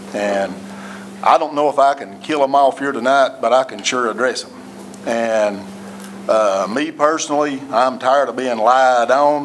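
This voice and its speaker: Noticeable background noise sits behind this man. He speaks with an East Tennessee accent and ordinary pitch variation. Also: medium pitch for a man, moderate pace. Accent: East Tennessee Southern. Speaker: city administrator. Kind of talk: council meeting address. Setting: city hall council meeting. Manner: loud.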